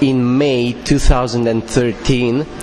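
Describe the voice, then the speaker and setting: A man with a Romanian accent talks at a fairly slow pace over noticeable background noise. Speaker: public speaking contest winner. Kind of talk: interview. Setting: interview room at a conference.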